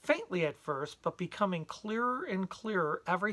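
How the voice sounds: Lively intonation carries a natural reading voice.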